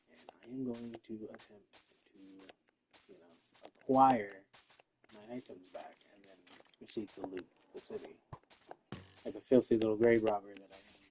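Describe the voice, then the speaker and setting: Soft-spoken and medium in pitch, a man talks at a moderate pace with big swings in loudness and long, frequent pauses. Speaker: gaming streamer. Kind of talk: casual gameplay livestream commentary.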